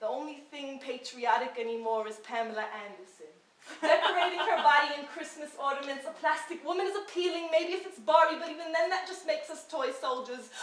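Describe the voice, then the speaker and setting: In an American accent, a woman speaks at a fairly quick pace with high pitch, lively intonation and big swings in loudness over noticeable background noise. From New York City, Washington Heights. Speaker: spoken word poet. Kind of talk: spoken word performance. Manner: rhythmic.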